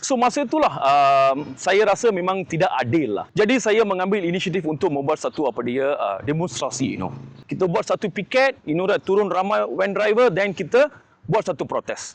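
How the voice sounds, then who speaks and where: The speaker moves at a moderate pace with very wide pitch swings. The sound is dry and close, with no echo. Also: man, high pitch for a man. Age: 40s. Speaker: political candidate and activist. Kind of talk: self-introduction interview. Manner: many fillers and hesitations, code-switching.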